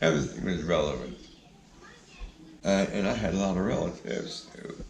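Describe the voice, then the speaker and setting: A man talks with a very deep, low pitch. Audible room echo and noticeable background noise come through. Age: 80s+. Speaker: grandfather telling his life story. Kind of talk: casual interview. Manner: halting, with filler uhs.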